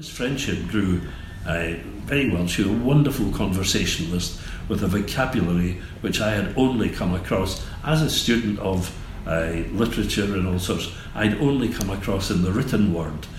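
Over noticeable background noise and audible room echo, a man with a fairly low pitch speaks at a moderate pace with lively intonation. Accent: Scottish. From Scotland, Glasgow area. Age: 70s. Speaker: gallery owner. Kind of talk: interview. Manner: halting.

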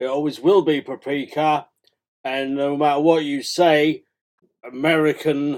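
In a British accent, a man speaks fairly slowly at a fairly high pitch. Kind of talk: book reading and chat interview, comedic. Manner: hesitant, stammering.

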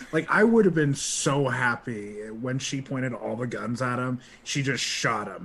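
A man's medium-pitched, animated voice at a fairly slow pace, with ordinary pitch variation and noticeable background noise. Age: 20s. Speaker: podcast producer. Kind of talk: casual chat.

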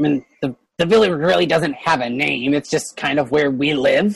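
The put-on character voice sits at a low-to-middle pitch and moves at a moderate pace. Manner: hesitant, casual, a bit nervous.

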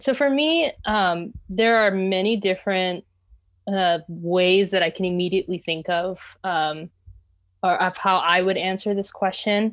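Speaking at a fairly slow pace, a woman uses a medium pitch and ordinary pitch variation. Her loudness stays very even on a very clean recording with a silent background. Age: 20s. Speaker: seminary graduate in theology. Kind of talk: casual discussion. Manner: hesitant with frequent fillers.

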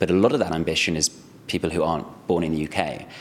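Fairly even intonation comes through in a London accent over noticeable background noise. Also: man. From London, England. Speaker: startup CEO. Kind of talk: interview.

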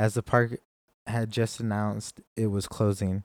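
Dark and mellow in tone, a man of medium pitch talks at a moderate pace. The recording is very clean and silent in the background, with a dry, close sound and no echo. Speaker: solo podcaster. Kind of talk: casual monologue. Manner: halting, many fillers.

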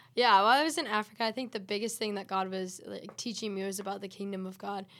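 Speaking at a very fast pace, a woman is heard in a very clean recording with a silent background. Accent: American. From West Michigan, US Midwest. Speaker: missionary. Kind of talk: podcast interview.

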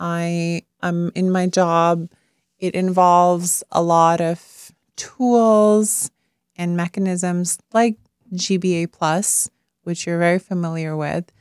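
A woman with a fairly low pitch speaks at a very slow pace in a monotone, flat intonation, recorded very cleanly against a silent background with a dry, close sound and no echo. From Pakistan. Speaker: gender equality advocate, public servant. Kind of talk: casual interview conversation. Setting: recording studio.

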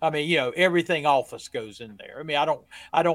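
This man has an unremarkable speaking voice, fairly high in pitch, with ordinary pitch variation. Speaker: trucking business owner, tax and accounting guest. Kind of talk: casual chat. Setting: hotel bar.

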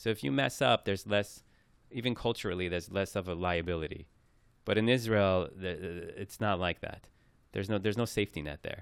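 A man with a Persian accent speaks in a very deep, low voice at a fairly quick pace. His pitch varies in an ordinary way, and the recording is very clean with a silent background. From Iran, raised in New York. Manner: talkative.

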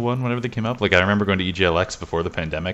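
Fairly low pitch for a man, plus ordinary pitch variation. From Canada. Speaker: indie game developer. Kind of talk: casual interview. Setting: remote call.

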